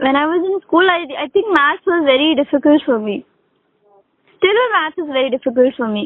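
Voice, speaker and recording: A woman talks at a moderate pace in a Pakistani accent. Her voice is high and her intonation lively. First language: Urdu. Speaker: English conversation tutor. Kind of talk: casual conversation practice. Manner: hesitant, many fillers.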